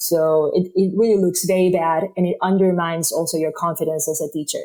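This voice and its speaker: The speaker has a Spanish accent and a fairly quick pace. The intonation is monotone and flat. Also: woman. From Spain. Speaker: yoga teacher. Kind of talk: podcast interview.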